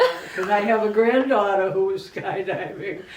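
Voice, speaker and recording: Noticeable background noise is present. The talking is fairly slow. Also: woman. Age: 80s+. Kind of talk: interview answer.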